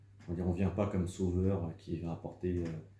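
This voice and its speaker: In a very deep, low voice, a man speaks with monotone, flat intonation, and room echo can be heard. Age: 40s. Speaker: humanitarian volunteer. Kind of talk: testimony interview. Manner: hesitant, many fillers.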